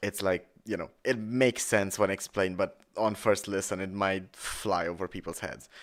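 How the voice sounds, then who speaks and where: A man with a Romanian accent speaks at a moderate pace and a fairly low pitch. His intonation is fairly even, and the recording is very clean with a silent background. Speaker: musician streamer. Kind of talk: casual song breakdown commentary.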